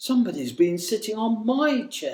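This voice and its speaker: In a put-on character voice, the speaker growls softly at a moderate pace and a fairly high pitch. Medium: read story. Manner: gentle, murmuring.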